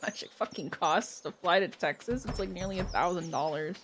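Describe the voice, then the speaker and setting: Speaking at a moderate pace, a woman with a medium-pitched voice sounds animated. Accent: Canadian. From Canada, Ontario. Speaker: gaming streamer. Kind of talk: casual live stream chat.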